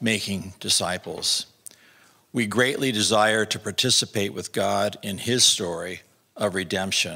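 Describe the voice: A man with a fairly low pitch, a bright, sharp tone, a slightly husky edge and vocal fry speaks at a fairly slow pace with ordinary pitch variation and long, frequent pauses.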